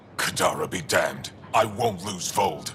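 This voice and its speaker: A man does a growling, put-on character voice at a moderate pace. Clear background noise runs underneath. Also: fairly low pitch for a man. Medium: video game. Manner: curt, guarded.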